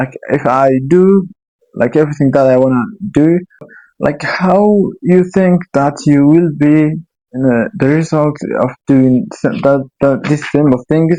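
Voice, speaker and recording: With a non-native accent, a man speaks fairly slowly in a dark, mellow tone, his pitch fairly high with ordinary variation. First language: Somali. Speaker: YouTuber. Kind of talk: casual monologue. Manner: halting.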